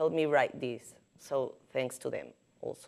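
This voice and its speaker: Speaking at a moderate pace, a woman with a Caribbean Spanish accent has a dark, mellow tone. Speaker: journalist. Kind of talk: prepared symposium talk. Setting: podium at symposium with audience.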